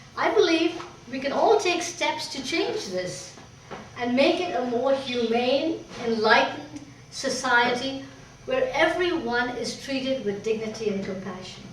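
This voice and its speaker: A woman's high-pitched voice at a fairly slow pace, with very wide pitch swings, noticeable background noise and audible room echo. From Pakistan. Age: 60s. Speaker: painter. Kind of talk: personal speech to an audience.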